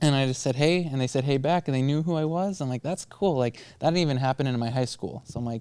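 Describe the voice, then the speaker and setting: A very fast man with an American accent, fairly high-pitched, dark and mellow in tone with ordinary pitch variation, recorded very cleanly against a silent background. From Minnesota (Buffalo). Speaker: student body president. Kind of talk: casual chat. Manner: loud.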